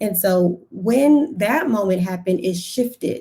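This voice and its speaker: This woman's voice is somewhat breathy, with a dark, mellow tone at a medium pitch. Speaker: personal finance strategist. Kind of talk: live stream testimony. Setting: live stream on social media. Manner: deliberately slow.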